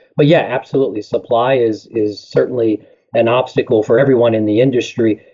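Talking at a fairly quick pace, this man has an unremarkable speaking voice with medium pitch and fairly even intonation. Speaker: tire company representative. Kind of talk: interview, product talk.

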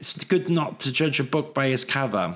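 With a Welsh accent, a man talks at a moderate pace in a fairly high pitch. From Wales. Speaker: livestreamer and architecture recruiter. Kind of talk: live stream solo talk. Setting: live stream. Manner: chatty, informal.

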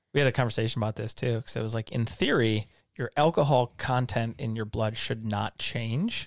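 The voice moves at a fairly quick pace with fairly even intonation. It is an unremarkable speaking voice in a dry, close sound with no echo. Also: man, medium pitch for a man. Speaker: podcast co-host. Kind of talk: casual chat.

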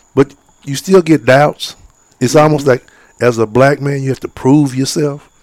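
In a dry, close recording with no echo, a man with an American accent speaks at a moderate pace and a fairly high pitch. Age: 50s. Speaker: fishing guide and outdoorsman. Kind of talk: casual interview.

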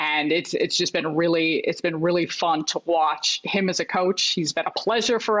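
A woman with an American accent uses a normal speaking voice, talking at a moderate pace with ordinary pitch variation. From US Midwest, Chicago. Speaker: basketball analyst. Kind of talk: casual chat.

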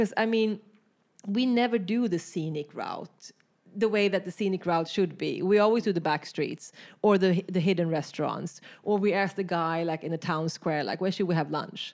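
A woman with a Swedish accent speaks at a medium pitch and a moderate pace. Her pitch variation is ordinary, and the recording is very clean with a silent background. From Sweden, rural countryside. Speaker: artist. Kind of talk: casual interview. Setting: artist's studio.

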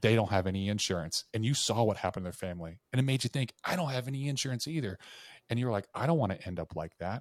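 A man speaks very fast at medium pitch with lively intonation, on a very clean recording with a silent background and a dry, close sound with no echo. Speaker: insurance sales trainer. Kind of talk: casual chat. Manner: dramatic storytelling.

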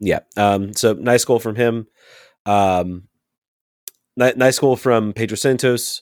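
Very slow and full of long, frequent pauses, a man speaks at medium pitch with fairly even intonation. The very clean recording has a silent background and dry, close sound with no echo. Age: 30s. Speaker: soccer podcast co-host. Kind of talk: casual chat.

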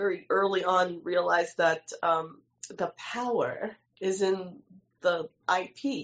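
A woman with a New York accent. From New York City, Lower East Side. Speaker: filmmaker. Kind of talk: casual chat. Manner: animated.

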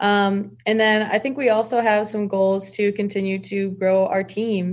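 A woman with an American accent, her intonation monotone and flat, over a quiet background. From Michigan, US Midwest. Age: 20s. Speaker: fashion brand co-founder. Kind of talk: casual interview.

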